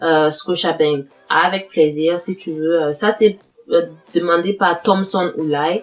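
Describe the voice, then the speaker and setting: Music plays behind a woman speaking with a Burkinabe accent at a very slow pace. Her voice is fairly low, with fairly even intonation. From Burkina Faso. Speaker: YouTuber giving advice on studying and immigrating. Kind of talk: casual Q&A video. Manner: hesitant, many fillers and repetitions.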